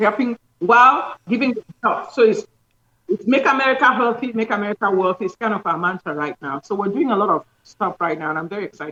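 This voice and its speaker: Speaking at a very fast pace, a woman uses lively intonation at a fairly high pitch, with a dry, close sound and no echo. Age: 60s. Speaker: doctor promoting health products. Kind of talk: interview promoting products.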